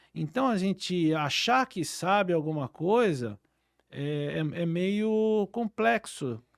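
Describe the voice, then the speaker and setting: Speaking very slowly, a man with a high pitch makes very wide pitch swings, recorded dry and close with no echo, very clean, with a silent background. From São Paulo city, Brazil. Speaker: oral and maxillofacial surgeon. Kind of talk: interview. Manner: hesitant with many fillers.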